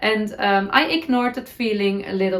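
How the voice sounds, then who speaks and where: With a Dutch accent, a woman speaks at a moderate pace with ordinary pitch variation. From Netherlands. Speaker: knitting podcaster. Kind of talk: casual talk to camera.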